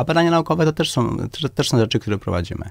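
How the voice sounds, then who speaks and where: Against a quiet background, a man talks at a very fast pace. His intonation is lively. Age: 50s. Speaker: doctor and medical clinic director; candidate. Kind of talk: radio interview. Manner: halting, many repetitions and fillers. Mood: firm, assertive. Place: studio.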